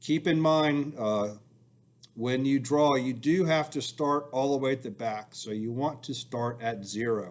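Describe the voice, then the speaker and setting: Speaking at a fairly slow pace against a quiet background, a man has an ordinary speaking voice. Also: medium pitch for a man, ordinary pitch variation. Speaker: school engineering teacher. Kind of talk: recorded software tutorial.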